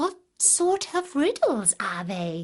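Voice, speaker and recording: Putting on a character voice, a woman speaks high in her range, her pitch swinging very widely. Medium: read story.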